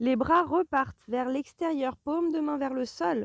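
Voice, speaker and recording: The sound is dry and close, with no echo. A woman speaks in a high pitch with lively intonation. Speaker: Pilates instructor. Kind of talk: guided exercise class.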